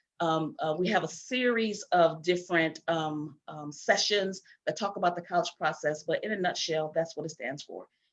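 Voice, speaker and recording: A woman's plain, everyday voice, fairly low-pitched, at a moderate pace with fairly even intonation. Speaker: event host. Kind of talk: presentation.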